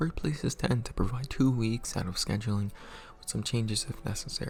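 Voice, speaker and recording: Music plays in the background as the speaker talks at a fairly quick pace with lively intonation. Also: man. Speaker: small YouTuber, minimum wage worker. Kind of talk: personal video essay read from script. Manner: occasional stutters.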